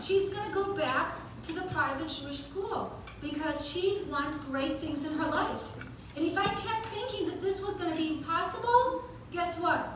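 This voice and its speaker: A woman projects a raised voice with lively intonation. Her moderate pace carries audible room echo. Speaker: event host and motivational speaker. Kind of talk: motivational talk. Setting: stage with audience. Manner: animated; halting.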